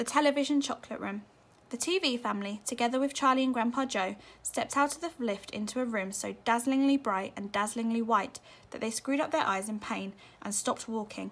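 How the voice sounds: Her tone fairly bright, a woman speaks at a fairly high pitch and a fairly quick pace with ordinary pitch variation.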